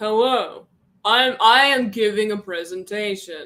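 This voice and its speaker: A man puts on a character voice, pitched high, with a serious tone. He talks at a fairly slow pace. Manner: fake, more serious.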